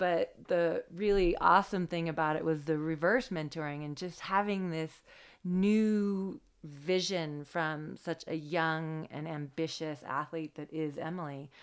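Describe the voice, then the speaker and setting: A woman with an American accent speaks in a plain, everyday voice at a fairly slow pace. The recording is very clean, with a silent background. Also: fairly low pitch for a woman. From US Pacific Northwest (Washington Cascades). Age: 40s. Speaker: professional ski mountaineer. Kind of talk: casual interview.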